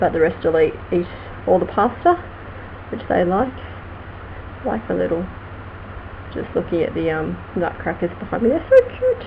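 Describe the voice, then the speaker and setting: A woman speaks in an Australian accent with long, frequent pauses. There is noticeable background noise. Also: moderate pace. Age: 40s. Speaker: vlogger and crime writer. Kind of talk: casual live stream chat.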